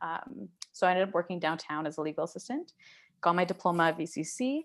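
With a Canadian accent, a woman with an unremarkable speaking voice and a fairly low pitch talks at a fairly quick pace against a quiet background. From Canada, Surrey, British Columbia. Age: 20s. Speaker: photographer and small business owner. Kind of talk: casual interview.

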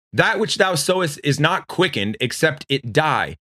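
Bright and sharp in tone, this voice has vocal fry and very wide pitch swings. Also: man. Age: 30s. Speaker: radio preacher. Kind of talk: sermon.

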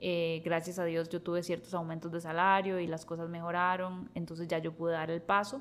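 Monotone and flat, a woman with a Costa Rican accent talks at a fairly quick pace in a fairly low pitch, with hardly any pauses. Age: 30s. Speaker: podcast host. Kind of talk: casual chat.

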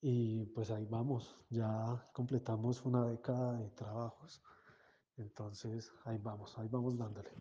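A man speaks at a fairly slow pace, somewhat breathy. His intonation stays monotone and flat. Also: medium pitch for a man. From Colombia. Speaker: music organization founder. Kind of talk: interview.

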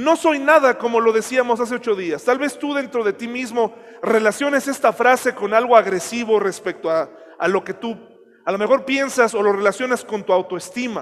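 Noticeable background noise sits under a man's extremely high-pitched voice. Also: ordinary pitch variation, moderate pace. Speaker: pastor. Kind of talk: sermon.

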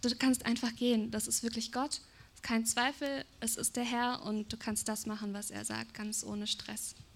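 In a somewhat breathy voice with a fairly high pitch, a woman speaks at a moderate pace with monotone, flat intonation. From Germany. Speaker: preacher's wife, prophetic speaker. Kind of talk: prophetic words in church.

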